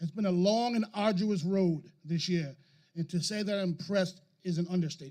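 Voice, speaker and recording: This man's voice is high in pitch yet dark and mellow in tone, moving at a fairly quick pace with fairly even intonation. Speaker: high school principal. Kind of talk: graduation speech. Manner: fast.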